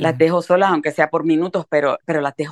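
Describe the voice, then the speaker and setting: A woman with a Puerto Rican accent and a fairly low pitch. The sound is dry and close, with no echo. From Puerto Rico, Carolina. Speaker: writer. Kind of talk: interview conversation. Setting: remote call. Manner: energetic.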